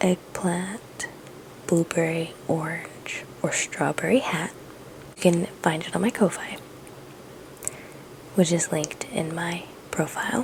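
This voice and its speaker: A woman whispers very slowly, pausing long and often, with noticeable noise in the background. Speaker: crochet artist and small business owner. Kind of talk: casual vlog. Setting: at home at night.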